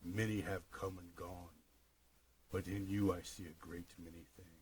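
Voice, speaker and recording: A man puts on a character voice, very deep and low in pitch. He keeps a moderate pace and a monotone, flat intonation. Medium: read story. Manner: sinister, gloating.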